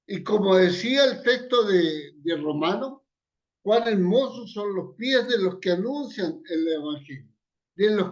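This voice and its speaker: A man's high-pitched voice with lively intonation, a very slow pace and audible room echo. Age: 80s+. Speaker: evangelist. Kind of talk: sermon.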